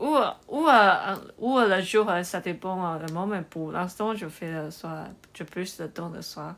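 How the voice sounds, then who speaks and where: Speaking at a very slow pace, a woman has a bright, sharp tone. Her fairly low pitch shows ordinary variation. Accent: Chinese. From Taiwan. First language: Chinese (speaking French). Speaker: livestreamer. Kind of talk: live stream chat with viewers. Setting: livestream. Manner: halting, many hesitations.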